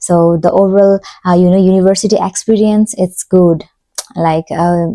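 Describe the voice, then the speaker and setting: With a Nepali accent, a woman speaks at a moderate pace in a dark, mellow, medium-pitched voice, her intonation monotone and flat, her loudness very even, and the sound dry and close with no echo. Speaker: PhD student, vlogger. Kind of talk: casual vlog talk.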